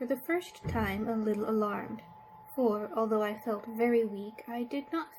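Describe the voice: The text is read aloud plainly, its intonation fairly even.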